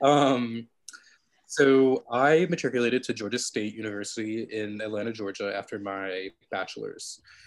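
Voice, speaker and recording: Heard in a very clean recording against a silent background, a man with a plain, everyday voice and an American accent talks at medium pitch and a moderate pace with ordinary pitch variation. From US Northeast (rural Western Massachusetts). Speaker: doctoral student in bioarchaeology. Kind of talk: podcast interview. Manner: many filler words, laughs often.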